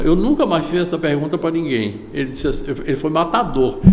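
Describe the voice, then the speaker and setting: Speaking at a fairly high pitch, a man is heard with audible room echo and noticeable background noise. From Salvador, Bahia, Brazil. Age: 70s. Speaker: veteran journalist and interviewer. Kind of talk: interview.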